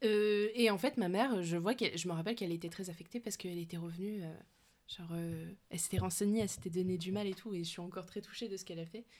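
A woman speaks very fast at medium pitch with ordinary pitch variation. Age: 20s. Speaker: podcast host. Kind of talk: casual chat. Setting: basement.

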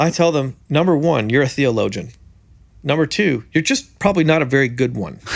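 The voice moves at a fairly quick pace with vocal fry and ordinary pitch variation. The recording is very clean, with a silent background. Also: man, fairly high pitch for a man. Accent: Canadian. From Canada. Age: 30s. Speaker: preacher and songwriter. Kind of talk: interview. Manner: animated.

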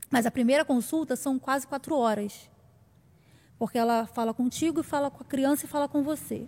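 A woman's high-pitched voice comes through in a very clean recording with a silent background. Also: fairly even intonation, moderate pace, dry, close sound with no echo. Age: 40s. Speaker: missionary. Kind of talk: testimony.

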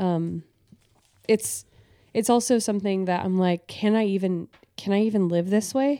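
At a moderate pace, a woman talks in a plain, everyday voice with medium pitch and ordinary pitch variation. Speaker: podcast co-host. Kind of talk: casual chat.

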